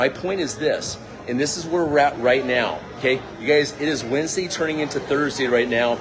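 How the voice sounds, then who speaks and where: Music plays in the background as a man with an American accent speaks in an animated tone at a fairly high pitch. There is audible room echo, and his pitch variation is ordinary. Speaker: crypto and network marketing promoter. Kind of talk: casual vlog talk. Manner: fast.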